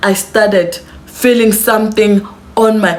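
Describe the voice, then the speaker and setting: Amid noticeable background noise, a woman with a South African accent talks in an animated tone at a fairly high pitch. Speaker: YouTuber. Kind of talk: storytime to camera. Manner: casual, animated.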